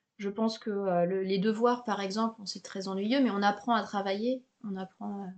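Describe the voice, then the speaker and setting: At a fairly slow pace, a woman with a medium pitch talks in an unremarkable speaking voice. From Paris, France. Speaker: podcast host, French teacher. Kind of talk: interview. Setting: home recording, window open.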